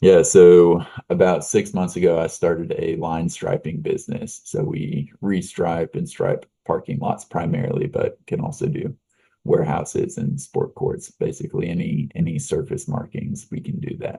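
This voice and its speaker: A man at a moderate pace, with a slight Texan accent. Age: young. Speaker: business owner. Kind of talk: interview.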